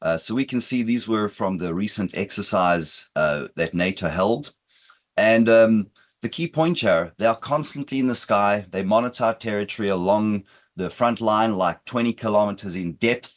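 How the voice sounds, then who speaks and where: Speaking with an American accent, a man uses a fairly low pitch with ordinary pitch variation. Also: moderate pace. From South Africa, Britain and the United States. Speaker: cybersecurity expert, former police officer. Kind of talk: conference presentation. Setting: conference hall. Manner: energetic.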